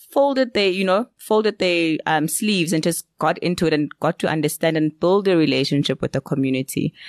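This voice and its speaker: A woman with a plain, everyday voice speaks at a fairly low pitch and a fairly quick pace, with lively intonation, very even loudness, hardly any pauses, and a dry, close sound with no echo. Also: quiet background. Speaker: podcast host. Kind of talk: casual interview chat.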